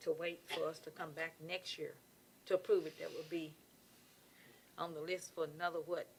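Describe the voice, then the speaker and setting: A woman with an American accent speaks at a moderate pace, leaving long, frequent pauses. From Clarksville, Tennessee. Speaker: city council member. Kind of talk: council meeting debate.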